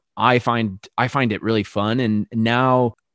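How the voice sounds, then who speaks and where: A man's medium-pitched voice with an American accent, a dry, close sound with no echo, and a quiet background. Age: 30s. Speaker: vegan chef and cookbook author. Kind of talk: casual chat. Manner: animated.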